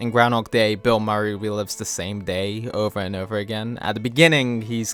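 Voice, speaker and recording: Background music beneath fairly even intonation. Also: man. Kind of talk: comedic video essay narration. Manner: monotone.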